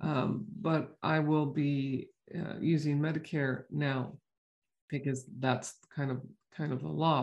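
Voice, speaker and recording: Against a quiet background, a woman speaks at a fairly slow pace in a dark, mellow tone. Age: 60s. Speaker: podcast host and chiropractor. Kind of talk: casual health podcast monologue. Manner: conversational with fillers.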